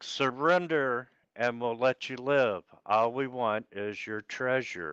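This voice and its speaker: In a put-on character voice with a low-to-middle pitch, the speaker goes at a fairly slow pace over a quiet background. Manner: threatening, demanding.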